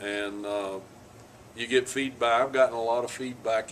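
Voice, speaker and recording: The man speaks with a monotone, flat intonation. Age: 60s. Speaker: author and investigator. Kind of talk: interview answers to a child. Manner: halting, many fillers and repeats.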